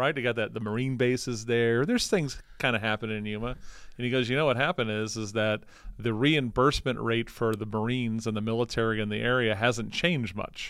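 A man's medium-pitched, fairly even delivery at a fairly quick pace, an ordinary speaking voice, on a very clean recording with a silent background. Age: 50s. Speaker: podcast host. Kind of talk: casual interview chat.

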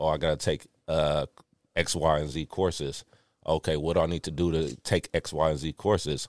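A man's very deep, low voice with vocal fry, monotone and flat at a moderate pace, in a dry, close sound with no echo on a very clean recording with a silent background. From Richmond, California. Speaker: guest, former prisoner turned runner. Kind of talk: personal story in casual chat. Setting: studio.

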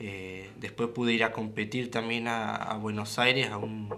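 Speech at a fairly slow pace carries audible room echo. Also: man. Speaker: rope craftsman. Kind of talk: radio interview.

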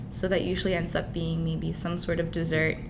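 There is noticeable background noise behind a woman as she speaks. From Dubai, with Ukrainian family. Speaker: university student, fitness enthusiast. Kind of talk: interview. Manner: casual, with fillers.

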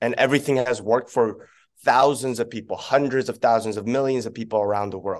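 A man with a Canadian accent speaks at a medium pitch with fairly even intonation in a plain, everyday voice against a quiet background. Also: fairly quick pace. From Korea, then Vancouver from age nine. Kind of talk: casual interview chat.

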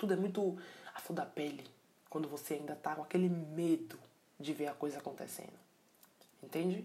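A woman with a very deep, low pitch and fairly even intonation speaks at a moderate pace, leaving long, frequent pauses over noticeable background noise. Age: 20s. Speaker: podcast host. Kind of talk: solo reflective monologue. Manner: casual, with many hesitations and filler words.

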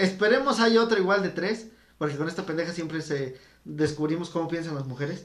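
Noticeable background noise sits behind a man talking at a fairly quick pace. His voice is high, with ordinary pitch variation. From State of Mexico, Teotihuacán area. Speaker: podcast co-host. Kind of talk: casual chat.

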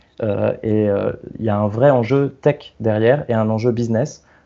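Fairly even intonation from a man at medium pitch. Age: 30s. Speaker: product designer. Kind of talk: casual chat. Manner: halting.

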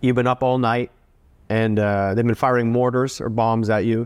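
The recording is very clean, with a silent background. A man speaks at a medium pitch and a moderate pace. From Canada. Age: 40s. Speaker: war veteran and writer. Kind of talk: interview. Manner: halting.

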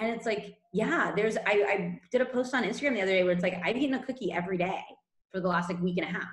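A woman with an American accent talks at a very fast pace. Her pitch is medium, with ordinary variation. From California, US. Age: 30s. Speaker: nutrition coach. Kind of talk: casual interview chat. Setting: remote call from Spain.

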